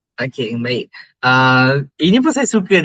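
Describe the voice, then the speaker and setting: A man speaks with a tone that is bright and sharp. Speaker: university student. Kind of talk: interview. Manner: hesitant, many fillers.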